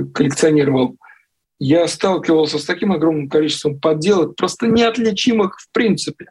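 A man with a fairly high pitch, a moderate pace and ordinary pitch variation. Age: 40s. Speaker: journalist and watch collector. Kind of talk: interview.

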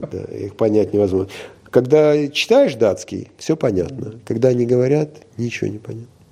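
At a moderate pace, a man with a medium pitch and a dark, mellow tone uses ordinary pitch variation while his loudness swings widely. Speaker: former film crew director, hotel business owner. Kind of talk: interview.

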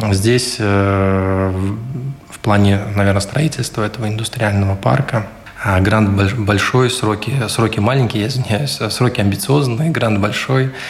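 Over noticeable background noise, a man speaks at a very slow pace with a fairly low pitch, ordinary pitch variation and very even loudness. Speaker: city councillor. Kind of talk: radio interview statements.

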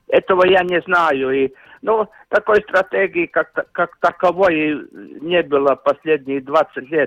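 Speaking at a very slow pace, a man with a high voice keeps his loudness very even and his pitch variation ordinary, in dry, close sound with no echo. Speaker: hockey commentator. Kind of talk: interview. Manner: halting.

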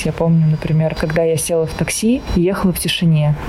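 Noticeable background noise sits under the recording. A woman speaks at a fairly low pitch with fairly even intonation. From Moscow, Russia. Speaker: designer and psychologist. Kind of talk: interview.

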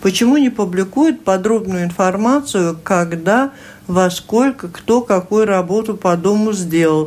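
In a normal speaking voice, a woman talks at a fairly slow pace and medium pitch, her intonation lively and her loudness very even. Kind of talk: radio talk show. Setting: studio.

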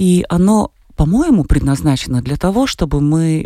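Her fairly low pitch and dark, mellow tone carry lively intonation as this woman speaks. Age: 40s. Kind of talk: radio interview.

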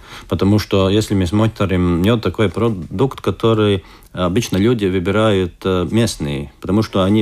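On a very clean recording with a silent background, a man speaks at a fairly low pitch with fairly even intonation. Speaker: beekeepers' association head. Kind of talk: radio interview. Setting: studio. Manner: hesitant.

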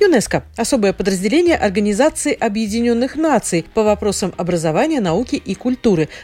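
A woman's fairly high voice with very wide pitch swings and hardly any pauses, against noticeable background noise. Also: fairly quick pace. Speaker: radio presenter. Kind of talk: scripted-style radio segment. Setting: studio.

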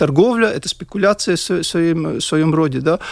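The speech moves at a moderate pace in a very clean recording over a silent background. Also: man. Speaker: heating association board member. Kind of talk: radio panel discussion.

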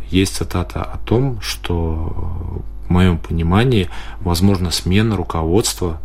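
Audible room echo and noticeable background noise surround a man whose very deep, low voice makes very wide pitch swings. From Latvia, Daugavpils. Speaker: mayor, politician. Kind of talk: radio interview. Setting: studio.

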